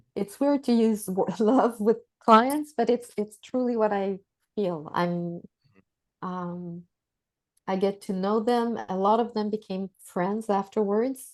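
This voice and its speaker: Speaking at a very slow pace, a woman uses a fairly high pitch. Her pitch variation is ordinary. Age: 60s. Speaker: executive coach. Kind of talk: casual chat. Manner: halting.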